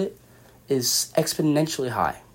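A somewhat breathy man with an American accent, fairly high pitch and ordinary pitch variation, on a very clean recording with a silent background. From California, San Jose. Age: 20s. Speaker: student podcast host. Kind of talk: solo podcast monologue. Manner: casual, many filler words.

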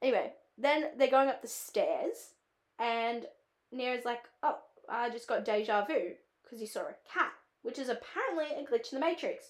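With an Australian accent, a woman speaks in a high pitch and an animated tone. She leaves long, frequent pauses. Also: ordinary pitch variation, moderate pace, big swings in loudness. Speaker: film student and podcast host. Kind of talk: casual solo podcast chat. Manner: chatty, filler-heavy, animated.

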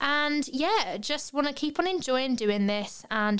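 In a British accent, a woman speaks at a fairly slow pace with lively intonation. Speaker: podcast host, barber and yoga teacher. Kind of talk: casual chat. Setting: studio. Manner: animated.

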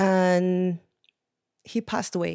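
A woman with a medium pitch and a dark, mellow tone speaks in a dry, close sound with no echo. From Portugal. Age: 40s. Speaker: businesswoman and content creator. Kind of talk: casual panel chat.

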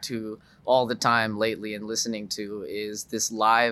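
The voice carries an American accent. Its tone is bright and sharp. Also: man. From US South, Dallas suburbs, Texas. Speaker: musician. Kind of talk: casual chat.

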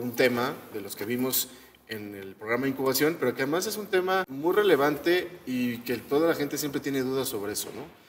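A man with a Mexican accent talks at a fairly quick pace, his intonation lively and his loudness swinging widely over noticeable background noise. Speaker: podcast co-host. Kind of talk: casual chat.

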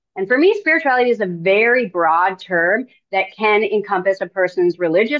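With an unremarkable speaking voice, a woman talks at a medium pitch and moderate pace, her intonation lively. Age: 40s. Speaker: podcast host and spiritual coach. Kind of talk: interview conversation.

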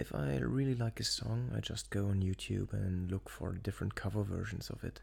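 Very deep and low in pitch yet with very wide pitch swings, a man speaks somewhat breathily at a moderate pace with hardly any pauses. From Luxembourg. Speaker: podcaster, soldier. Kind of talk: casual solo monologue.

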